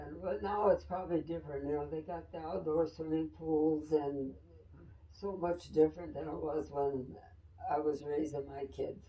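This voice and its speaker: Over noticeable background noise, a woman with a very deep, low voice speaks at a moderate pace with fairly even intonation and big swings in loudness. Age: 80s+. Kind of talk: interview answer.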